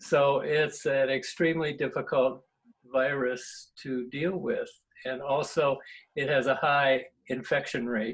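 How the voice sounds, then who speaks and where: This man speaks fairly slowly in a fairly high, somewhat breathy voice with fairly even intonation. The background is quiet. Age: 70s. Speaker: emeritus professor of environmental engineering.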